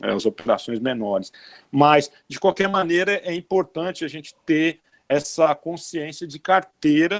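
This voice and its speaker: A man with a Brazilian accent speaks at a fairly high pitch with lively intonation. His loudness swings widely. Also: fairly slow pace, dry, close sound with no echo. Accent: non-Northeastern Brazilian. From Brazil, outside the Northeast. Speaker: bank chief economist. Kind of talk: interview Q&A, explanatory.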